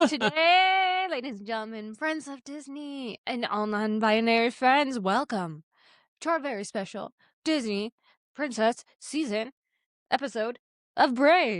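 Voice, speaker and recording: A woman's high-pitched voice at a fairly slow pace, with very wide pitch swings and big swings in loudness, dry and close with no echo against a quiet background. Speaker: podcast co-host. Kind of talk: casual chat. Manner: energetic.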